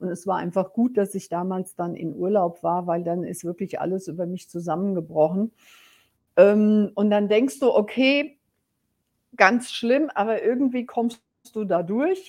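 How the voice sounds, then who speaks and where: Against a quiet background, a woman speaks at a fairly slow pace in a medium pitch with ordinary pitch variation. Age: 60s. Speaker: business coach. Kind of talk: personal storytelling. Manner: hesitant fillers.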